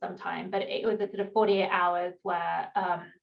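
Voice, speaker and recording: A woman with an English accent speaks at a fairly quick pace in a monotone, flat intonation. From England. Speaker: startup founder and CEO, former management consultant. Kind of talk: panel interview.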